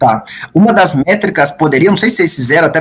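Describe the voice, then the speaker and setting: The man's intonation is lively. He speaks at a fairly quick pace. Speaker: thesis examiner professor. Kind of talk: thesis defense questioning. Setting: university thesis defense. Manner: fast.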